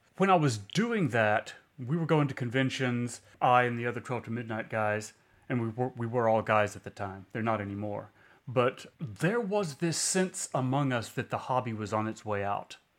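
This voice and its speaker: Here is an unremarkable speaking voice from a man, medium in pitch with ordinary pitch variation. He keeps a moderate pace on a very clean recording with a silent background. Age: 50s. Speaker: podcast co-host, tabletop game reviewer. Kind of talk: casual chat.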